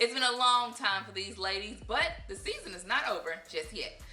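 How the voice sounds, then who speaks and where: A woman with a high pitch over noticeable background noise. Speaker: sports anchor and reporter. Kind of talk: TV sports news anchoring and reporting.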